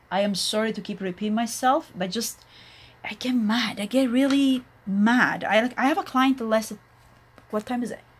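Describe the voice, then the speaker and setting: A somewhat breathy woman with an Italian accent, fairly high in pitch, fairly slow in pace and ordinary in pitch variation, in a very clean recording with a silent background. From Italy. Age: 40s. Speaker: nail technician. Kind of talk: tutorial. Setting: live stream.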